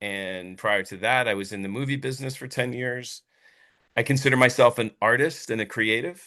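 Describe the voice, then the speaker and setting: His pitch sits in the medium range for a man. The man's tone comes across bright and sharp. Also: ordinary pitch variation, moderate pace, big swings in loudness, quiet background. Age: 60s. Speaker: business founder and CEO. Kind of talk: interview. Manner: halting.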